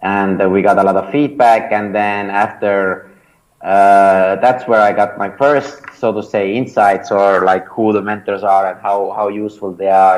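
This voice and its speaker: A man with an Estonian accent speaks at a fairly slow pace in a fairly low voice, his intonation fairly even. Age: 30s. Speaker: startup founder and mentor. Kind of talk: interview. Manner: hesitant, many fillers and repetitions.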